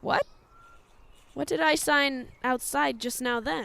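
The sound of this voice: A woman uses a put-on character voice with a high pitch and a bright, sharp tone. She speaks at a slow pace with vocal fry. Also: ordinary pitch variation.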